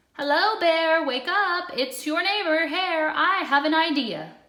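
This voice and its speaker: A woman's put-on character voice, extremely high-pitched, raised and projected, at a fairly slow pace. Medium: read story. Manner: glib, sly.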